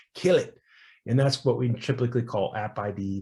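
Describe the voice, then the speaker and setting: A man with a medium-pitched, somewhat breathy voice talks at a fairly quick pace. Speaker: security professional giving a tech talk. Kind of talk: technical talk at meetup. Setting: online call. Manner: fast; animated.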